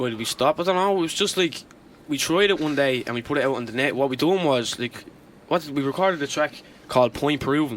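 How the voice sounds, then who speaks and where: Speaking at a very fast pace, this voice carries a Dublin accent. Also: man, fairly high pitch for a man, ordinary pitch variation. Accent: Dublin Irish accent, raps in it now. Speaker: rapper. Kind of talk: casual radio interview. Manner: casual, uses many fillers.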